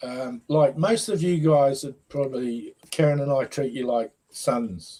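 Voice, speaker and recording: Very slow and somewhat breathy, a man speaks with a dark, mellow tone at a fairly high pitch. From Leeds, northern England. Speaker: football fan. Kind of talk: casual chat.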